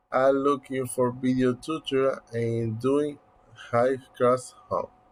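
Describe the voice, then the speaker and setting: A man with a medium-pitched voice talks very slowly. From Dominican Republic, Yamasá, Monte Plata. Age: 20s. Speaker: university student. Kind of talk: class presentation. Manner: halting.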